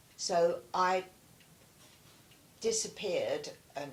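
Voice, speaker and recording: A woman with a southern English accent. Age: 80s+. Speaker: war witness. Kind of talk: interview answer.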